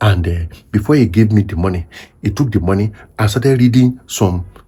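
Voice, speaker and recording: A man's somewhat breathy, fairly low voice has a dark, mellow tone and ordinary pitch variation. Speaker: pastor. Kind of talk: sermon talk to camera.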